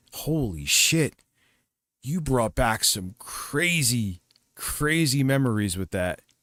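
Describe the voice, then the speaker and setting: With a bright, sharp tone and very wide pitch swings, a man speaks at medium pitch and a very slow pace. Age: 40s. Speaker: livestreamer. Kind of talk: casual chat.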